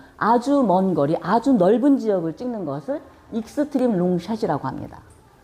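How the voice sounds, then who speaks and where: A woman's plain, everyday voice at a moderate pace, with lively intonation. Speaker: video production instructor. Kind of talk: lecture.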